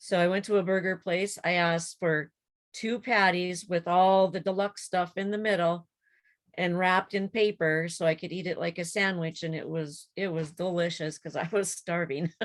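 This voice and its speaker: A woman with an ordinary speaking voice talks at a moderate pace and fairly low pitch, with fairly even intonation. The recording is very clean, with a silent background. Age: 60s. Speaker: support group member, emergency transport worker. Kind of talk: casual chat.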